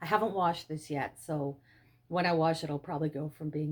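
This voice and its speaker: This woman has a very deep, low voice and speaks in an Ottawa Valley accent. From Canada, Ottawa Valley. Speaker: fiber arts YouTuber. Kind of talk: show-and-tell tutorial. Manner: enthusiastic.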